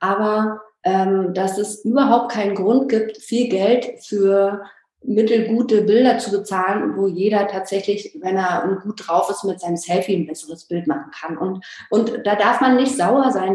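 Against noticeable background noise, a woman speaks at a moderate pace and medium pitch with ordinary pitch variation. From Berlin, former East Germany. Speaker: business coach for photographers. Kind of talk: interview. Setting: video call.

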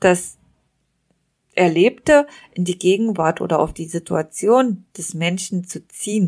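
Speaking very slowly, a woman leaves long, frequent pauses as her loudness swings widely. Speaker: hypnotist and podcast host. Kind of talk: guided imagery / dream journey narration. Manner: calm, slow, soothing, descriptive.

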